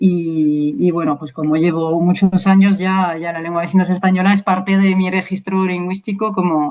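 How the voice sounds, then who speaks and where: Hardly pausing, a woman with a slight French accent keeps her intonation fairly even. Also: medium pitch for a woman, moderate pace. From France, Brittany (Rennes). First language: French Sign Language and French (speaking Spanish). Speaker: university lecturer and sign language interpreter. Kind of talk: interview. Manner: hesitant, many fillers.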